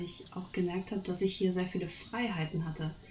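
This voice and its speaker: A woman with an unremarkable speaking voice talks at a fairly quick pace and a medium pitch, with ordinary pitch variation. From Germany. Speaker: speech therapist. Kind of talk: casual chat.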